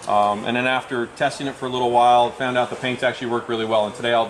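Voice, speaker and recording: Very fast, monotone speech from a man at medium pitch, over noticeable background noise. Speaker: scale model builder and author. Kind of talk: live demonstration. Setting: event with live audience.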